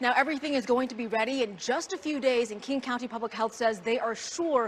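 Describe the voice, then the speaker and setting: Over noticeable background noise, a woman with an American accent speaks fairly quickly, her pitch moving in an ordinary way. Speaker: TV news reporter. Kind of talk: TV news field reporting, live and packaged. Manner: clear, fast-paced, on-location reporting.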